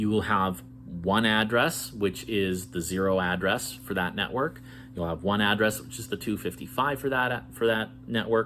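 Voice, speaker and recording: A man's fairly low voice with vocal fry and a bright, sharp tone, lively intonation and a moderate pace. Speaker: networking educator. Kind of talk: tutorial.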